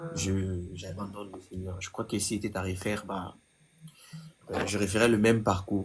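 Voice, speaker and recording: Speaking at a moderate pace in a fairly low pitch, a man delivers his words in a flat monotone, broken by long, frequent pauses. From DR Congo. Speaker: gospel singer. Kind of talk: testimony.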